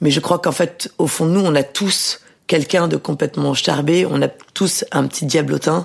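With vocal fry and very even loudness, the voice moves at a moderate pace with ordinary pitch variation. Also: woman, very deep, low pitch for a woman. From southern France, Mediterranean island (Var). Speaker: novelist and journalist. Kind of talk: interview.

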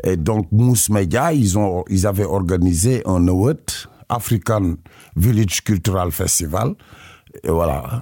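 A man with a fairly low pitch speaks at a very slow pace, leaving long, frequent pauses. His loudness stays very even throughout. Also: very clean recording, silent background. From Senegal, Casamance. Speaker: musician. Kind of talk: radio interview. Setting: studio. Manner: halting.

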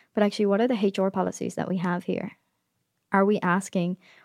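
The voice has a dark, mellow tone and an Irish accent. The recording is very clean with a silent background, and the sound is dry and close with no echo. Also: woman. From Ireland. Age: 20s. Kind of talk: interview conversation. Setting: studio.

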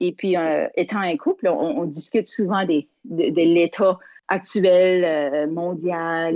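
In an Acadian accent, a woman speaks with fairly low pitch and ordinary pitch variation. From Acadian Prince Edward Island, Canada. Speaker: singer and community development worker. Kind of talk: interview. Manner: halting, many repetitions.

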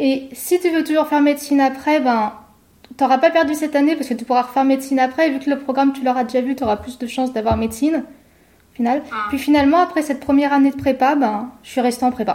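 A woman talks at a very fast pace. Her high voice keeps fairly even intonation. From France, Savoie (Chambéry). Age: 20s. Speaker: food photographer. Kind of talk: interview conversation.

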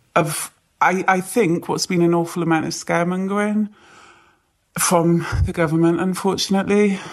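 A woman's fairly low voice in a British accent, at a moderate pace, monotone and flat in intonation. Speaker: nurse. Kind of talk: interview.

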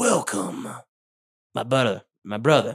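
A man speaks in a put-on character voice. His pitch sits in the medium range. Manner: mysterious.

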